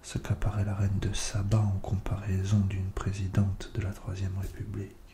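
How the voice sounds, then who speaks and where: Over noticeable background noise, a man speaks at a fairly low pitch with monotone, flat intonation. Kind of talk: soft-spoken ASMR poetry reading. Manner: soft-spoken, slow.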